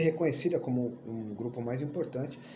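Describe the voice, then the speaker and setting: A man talks at a moderate pace with lively intonation and an animated tone. Audible room echo surrounds his voice. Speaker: history teacher. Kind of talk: lecture. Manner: animated, casual.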